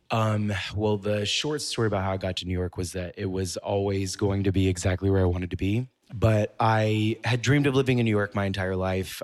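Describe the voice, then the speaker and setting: In a very clean recording with a silent background, a man with an American accent and an unremarkable speaking voice talks at a fairly quick pace, keeping a fairly low pitch and fairly even intonation. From US South, Mississippi. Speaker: fashion blogger and influencer. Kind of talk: interview.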